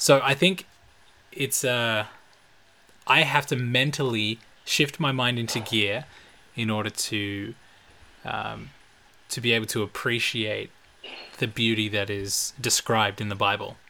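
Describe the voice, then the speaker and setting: A man's medium-pitched, bright, sharp voice with an Australian accent, fairly slow, with ordinary pitch variation and long, frequent pauses. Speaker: podcast co-host, pastor's kid. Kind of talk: casual chat; reading aloud.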